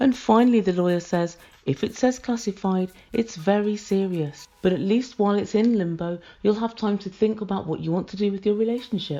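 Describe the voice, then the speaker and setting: A woman talks with a British accent at a fairly quick pace. Her tone is dark and mellow. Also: medium pitch for a woman, ordinary pitch variation. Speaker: reality TV review vlogger. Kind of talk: casual commentary review. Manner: softer, quieter than usual.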